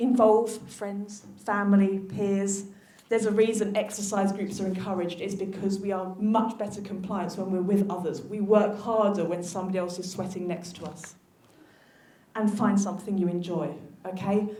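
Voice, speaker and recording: A woman speaks at a moderate pace in a medium pitch, her intonation flat and monotone. There is audible room echo and noticeable background noise. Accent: South London. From South London. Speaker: physiotherapist. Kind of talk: conference talk.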